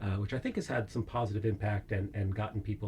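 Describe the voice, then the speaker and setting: Somewhat breathy, with a dark, mellow tone, a man with an American accent talks at a very fast pace and fairly low pitch with fairly even intonation. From United States. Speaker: philosophy professor. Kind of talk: interview. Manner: hesitant, many fillers.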